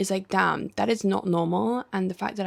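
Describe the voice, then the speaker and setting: A woman's voice with vocal fry, at a fairly slow pace. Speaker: lifestyle vlogger. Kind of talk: personal video diary. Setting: at home. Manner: whispering.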